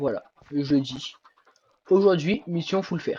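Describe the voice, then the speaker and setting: Very slow speech comes from a man with a high pitch. His pitch variation is ordinary. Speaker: gaming youtuber. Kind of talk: gameplay commentary.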